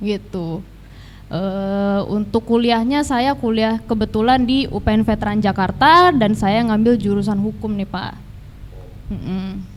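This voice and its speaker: A woman has an unremarkable speaking voice, fairly high in pitch with ordinary pitch variation. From Tangerang Selatan, Indonesia. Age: 20s. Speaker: law student, teaching intern. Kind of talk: interview.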